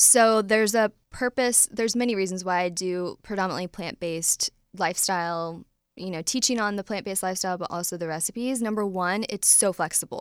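Here a woman talks with a US Midwestern accent at a fairly quick pace in a medium pitch. Her pitch varies in an ordinary way, and the sound is dry and close with no echo. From US Midwest, Ohio. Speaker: dietitian and nutrition business founder. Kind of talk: interview. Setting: studio.

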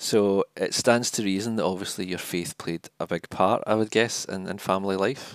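With a Scottish accent, a man talks at a moderate pace and a fairly low pitch, his intonation fairly even, in a dry, close recording with no echo. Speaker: podcast host, charity communications officer. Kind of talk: interview conversation.

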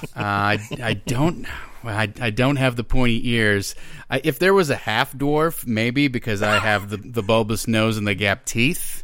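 A man with a plain, everyday voice and an American accent, medium pitch, ordinary pitch variation and a fairly slow pace. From Minnesota. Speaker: actor and game writer. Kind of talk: casual chat.

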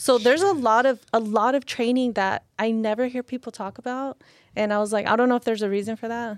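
Speaking very fast with an American accent, a woman with a fairly high voice and ordinary pitch variation comes through in a very clean recording with a silent background and a dry, close sound with no echo. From California, Lynwood. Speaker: Marine veteran and fitness influencer. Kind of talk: casual chat.

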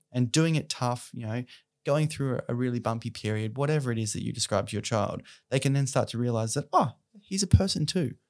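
A medium-pitched man with an Australian accent, at a fairly quick pace with ordinary pitch variation, on a very clean recording with a silent background. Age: 30s. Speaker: charity founder and mental health advocate. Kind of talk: podcast interview.

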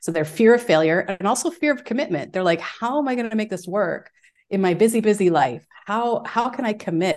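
With lively intonation and a fairly quick pace, an unremarkable speaking voice carries the words. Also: woman, fairly high pitch for a woman. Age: 40s. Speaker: fitness educator. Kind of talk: casual chat.

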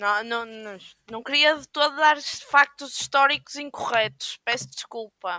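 Projected and raised, this woman's high, bright, sharp voice moves at a fairly slow pace with ordinary pitch variation, big swings in loudness, and a dry, close sound with no echo. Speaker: podcast co-host. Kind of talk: casual chat. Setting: video call from home.

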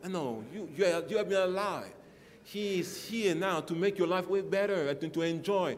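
The man's voice sits high in pitch, with ordinary pitch variation. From Central African Republic. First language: French. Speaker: guest preacher. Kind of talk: sermon. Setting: church. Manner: animated.

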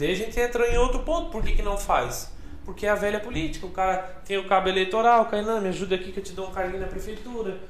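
A high-pitched man talks at a very fast pace with ordinary pitch variation, amid audible room echo and noticeable background noise. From Brazil, Blumenau area (Santa Catarina). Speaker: police officer and political candidate. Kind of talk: casual chat.

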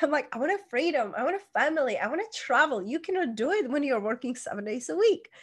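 An animated woman with a Czech accent, high-pitched and very fast, with very wide pitch swings against a quiet background. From Czech Republic. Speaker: life coach. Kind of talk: interview.

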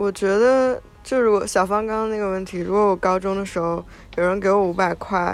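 At a fairly quick pace, a woman with a normal speaking voice talks at medium pitch with fairly even intonation. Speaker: podcast co-host. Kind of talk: casual chat.

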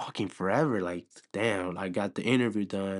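Over a quiet background, a man talks at a moderate pace in a fairly low pitch with fairly even intonation and an unremarkable speaking voice. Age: 20s. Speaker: podcast co-host. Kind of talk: casual chat.

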